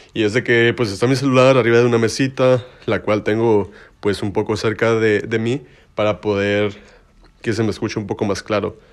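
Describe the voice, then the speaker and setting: This man's voice sits fairly low. His intonation is fairly even throughout. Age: 20s. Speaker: podcast host. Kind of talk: casual monologue. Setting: bedroom. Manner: informal slangy.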